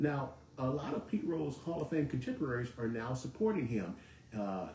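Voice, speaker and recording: A man talks in an animated tone at a medium pitch, with ordinary pitch variation. Noticeable background noise can be heard. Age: 60s. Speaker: sports talk host. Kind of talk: live sports talk monologue. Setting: live broadcast studio.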